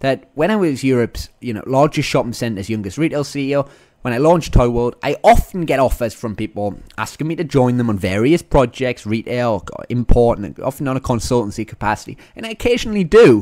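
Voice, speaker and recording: With a Northern English accent, a man talks at a fairly quick pace and a medium pitch. His tone is animated and his intonation lively. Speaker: podcast host and entrepreneur. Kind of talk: podcast monologue.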